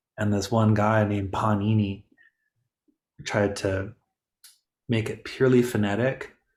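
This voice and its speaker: A man with a fairly low pitch and a somewhat breathy voice speaks at a moderate pace in a monotone, flat intonation, on a very clean recording with a silent background. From Detroit, Michigan, US. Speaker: yoga teacher trainer. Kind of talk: info session Q&A.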